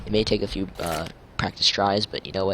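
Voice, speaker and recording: A man speaks quietly over noticeable background noise. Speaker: gaming YouTuber. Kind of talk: gameplay tutorial. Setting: home, late at night. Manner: hushed, keeping voice down late at night.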